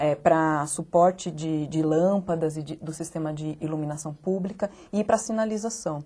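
A woman speaks at a moderate pace in a fairly low pitch with fairly even intonation. Her tone is dark and mellow and somewhat breathy. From interior of São Paulo state, Brazil. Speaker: architect and local government official. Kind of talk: TV interview. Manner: halting, many fillers. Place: studio. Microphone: lapel.

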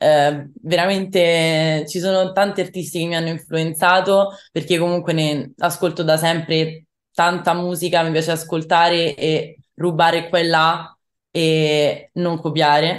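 A woman's fairly low voice, very slow, in a monotone, flat intonation. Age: young. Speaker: rock singer-songwriter; interviewee. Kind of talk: interview. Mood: cheerful, smiling. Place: home room. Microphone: video call.

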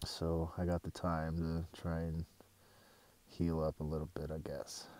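The man's voice is very deep and low, with a dark, mellow tone. He talks at a fairly slow pace in a dry sound with no echo. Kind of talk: casual vlog chat. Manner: weak, low, sick-day voice. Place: tent.

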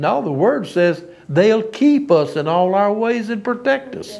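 Speaking at a fairly slow pace, a man talks in a Southern US accent. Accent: US South. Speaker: preacher. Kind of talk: sermon. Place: church. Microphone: lapel.

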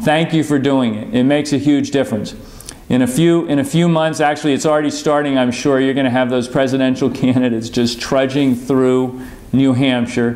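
A man talks at a fairly quick pace, his intonation fairly even and his loudness very level throughout. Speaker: politician sending a video message. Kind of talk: address to supporters. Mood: earnest, encouraging. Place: office.

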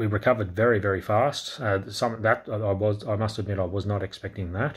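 An Australian accent with a somewhat breathy sound and a fairly quick pace. The intonation stays fairly even over a quiet background. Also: man, fairly low pitch for a man. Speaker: crypto YouTuber. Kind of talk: casual market update vlog. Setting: indoors at night, kids asleep. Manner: quiet, talking low; hesitant, many fillers. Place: home room. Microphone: phone near.

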